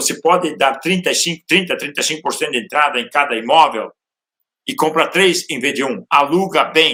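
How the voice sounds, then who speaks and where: A man with a fairly high pitch and a bright, sharp tone talks at a moderate pace with ordinary pitch variation. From Brazil, interior of Santa Catarina. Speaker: real estate entrepreneur. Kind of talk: podcast interview. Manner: halting, with filler sounds.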